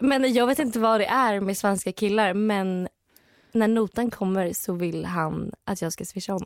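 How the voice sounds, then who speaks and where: On a very clean recording with a silent background, a woman with an ordinary speaking voice talks at a fairly slow pace. Her fairly high pitch shows ordinary pitch variation, and the sound is dry and close with no echo. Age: 20s. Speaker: podcast co-host. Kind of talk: casual chat.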